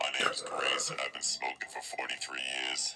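At a moderate pace, a man performs a raspy, put-on character voice. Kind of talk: homeless-person style.

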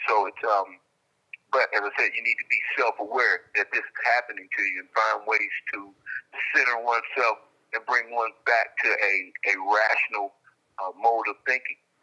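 The setting is quiet. A man's pace is moderate. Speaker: caller. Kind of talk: interview answer. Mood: calm reflective. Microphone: phone line.

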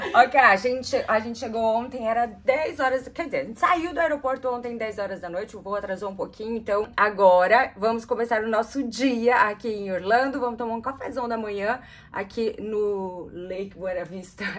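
A woman talks at a moderate pace with hardly any pauses, ordinary pitch variation, and big swings in loudness. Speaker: travel vlogger. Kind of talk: casual vlog chat. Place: home room. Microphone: phone near.

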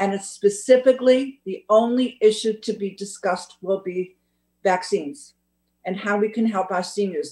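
At a moderate pace, a woman with a dark, mellow tone and ordinary pitch variation speaks over a quiet background. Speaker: council meeting official. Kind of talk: meeting report. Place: home room. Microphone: video call.

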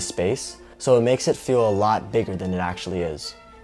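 A man with a fairly low voice and ordinary pitch variation speaks over faint music in the background. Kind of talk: casual vlog chat. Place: home room. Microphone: lapel.

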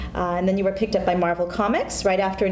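Light background noise and audible room echo surround a woman's speech. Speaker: talk show co-host. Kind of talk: casual interview. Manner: animated, laughs often. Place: studio. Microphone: lapel.

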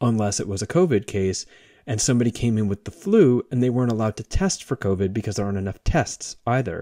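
In a plain, everyday voice, a man talks at a fairly quick pace with a fairly low pitch and ordinary pitch variation, recorded very cleanly against a silent background with a dry, close sound and no echo. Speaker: podcast host. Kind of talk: casual conversation.

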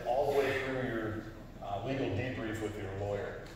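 Through strong room echo and noticeable background noise, a man talks with fairly even intonation. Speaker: presenter, instructor. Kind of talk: lecture. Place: hall. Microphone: camera far.

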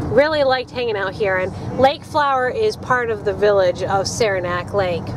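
Lively in intonation but fairly slow in pace, a high-pitched woman speaks in a dry sound with no echo over noticeable background noise. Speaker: parent vlogger. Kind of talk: casual vlog chat. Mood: nostalgic, cheerful. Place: car.

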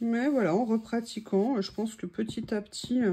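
A woman's voice has a dark, mellow tone and is somewhat breathy. It sits at a fairly high pitch with ordinary pitch variation. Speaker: craft youtuber. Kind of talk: crafting tutorial. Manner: casual, chatty with hesitations.

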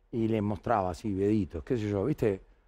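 There is a dark, mellow tone to this man's voice against a quiet background. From Argentina, Bahía Blanca; Argentina. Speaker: basketball coach. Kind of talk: casual interview chat. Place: studio. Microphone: headset.

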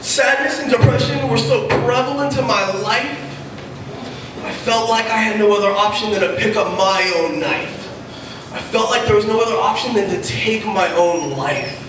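With noticeable background noise and audible room echo, a man speaks at a moderate pace in a high pitch with lively intonation. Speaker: slam poet. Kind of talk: slam poetry performance, rhythmic rhymed spoken word to a live audience. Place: stage.

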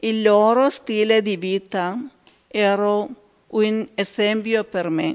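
In an Indian accent, a woman speaks at a very slow pace with a medium pitch and ordinary pitch variation. The background is quiet. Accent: Indian-accented Italian. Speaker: consecrated laywoman. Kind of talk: testimony. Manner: halting. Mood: calm, earnest. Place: church. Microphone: handheld.

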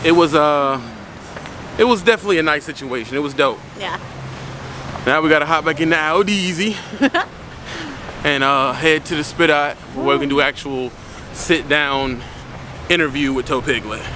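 Pausing long and often, a man speaks at a moderate pace with ordinary pitch variation, in a dry sound with no echo and light background noise. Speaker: vlogger. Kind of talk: casual vlog chat. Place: street. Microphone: phone near.

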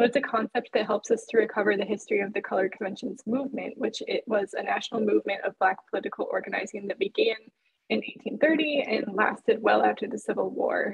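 Over a quiet background, a woman speaks at a very fast pace. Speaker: presenter. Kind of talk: lecture. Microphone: webcam.

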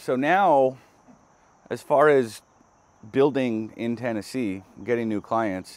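A man with a Californian accent speaks at a very slow pace with long, frequent pauses, the sound dry with no echo. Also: ordinary pitch variation. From Southern California. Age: 30s. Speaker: hairdresser. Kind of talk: casual vlog monologue. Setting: outdoors in backyard. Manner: halting, many fillers and repeats. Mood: relaxed, thoughtful. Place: garden. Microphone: lapel.

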